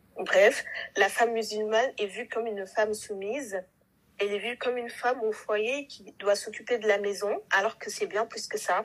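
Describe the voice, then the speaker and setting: A woman with an unremarkable speaking voice talks at a moderate pace and a fairly high pitch, with fairly even intonation but big swings in loudness. The recording is very clean, with a silent background. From Senegal. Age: 20s. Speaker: administrative assistant apprentice. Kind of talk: casual chat.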